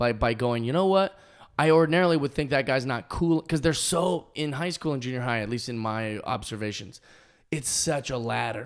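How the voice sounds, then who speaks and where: A man with an ordinary speaking voice and a medium pitch talks at a moderate pace with lively intonation. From US Pacific Northwest (Kent, Washington). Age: 20s. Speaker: comedian. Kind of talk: casual chat. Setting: dining room.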